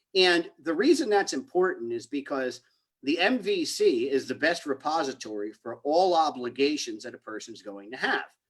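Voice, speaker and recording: A man talks in a New Jersey accent at a fairly high pitch. His pitch swings very widely. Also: moderate pace. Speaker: criminal justice reform advocate. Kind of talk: panel presentation.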